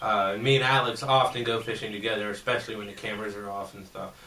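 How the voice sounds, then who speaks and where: A man at a fairly quick pace with fairly even intonation, plus audible room echo and noticeable background noise. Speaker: YouTuber interviewing a guest. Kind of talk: casual interview. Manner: loud.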